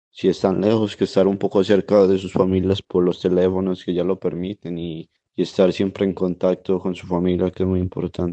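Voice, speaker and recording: A man's very deep, low voice at a moderate pace. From Colombia, Risaralda (Pereira). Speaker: table tennis player. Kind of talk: interview.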